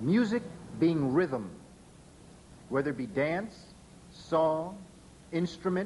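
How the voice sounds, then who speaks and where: With lively intonation, a man with a high voice talks at a very slow pace, leaving long, frequent pauses as the room echo stays audible. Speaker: lecturer and educator. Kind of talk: lecture.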